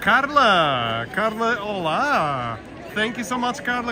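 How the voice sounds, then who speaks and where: At a very slow pace, a man speaks in a room with audible echo and crowd noise in the background. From Portugal. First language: Portuguese. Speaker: walking tour live streamer. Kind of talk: live-stream walking commentary. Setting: outdoors, walking city streets. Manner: chatty, with fillers and repetitions.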